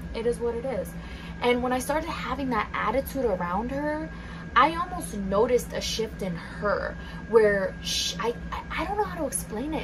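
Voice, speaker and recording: A soft-spoken woman keeps a moderate pace while noticeable background noise sits behind her. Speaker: ASMR content creator. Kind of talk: ASMR soft-spoken chit-chat story time.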